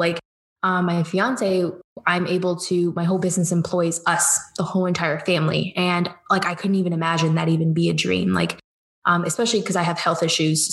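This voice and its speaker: At a fairly quick pace, a woman speaks at a fairly low pitch with monotone, flat intonation. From Georgia, US South (from age seven; born in Cleveland). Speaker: business coach. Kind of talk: casual chat.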